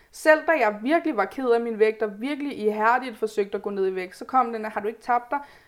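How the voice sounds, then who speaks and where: Speaking fairly quickly with hardly any pauses, a woman has a normal speaking voice at a fairly high pitch. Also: ordinary pitch variation. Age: 20s. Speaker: podcast guest, pregnant student. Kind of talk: casual chat.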